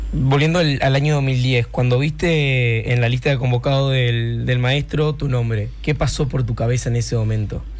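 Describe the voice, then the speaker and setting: A man with a Uruguayan accent speaks at a medium pitch and moderate pace, with very even loudness and hardly any pauses, amid audible room echo and noticeable background noise. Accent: Uruguayan Rioplatense Spanish. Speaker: radio host. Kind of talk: casual radio show and interviews. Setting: radio studio. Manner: animated.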